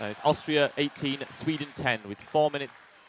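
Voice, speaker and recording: There is noticeable background noise behind a man speaking at a fairly high pitch. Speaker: sports commentator. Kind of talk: live commentary. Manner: loud.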